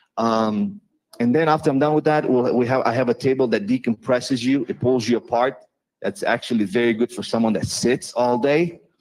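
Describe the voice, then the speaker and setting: A fairly quick delivery in a non-native accent, with ordinary pitch variation and a dry, close sound with no echo. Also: man, medium pitch for a man. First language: not English. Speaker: chiropractor. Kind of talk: informal presentation to a live audience. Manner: animated.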